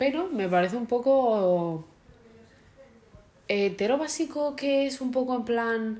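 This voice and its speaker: Fairly high for a woman, this woman's voice is an unremarkable speaking voice with lively intonation. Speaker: podcast co-host. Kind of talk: casual chat.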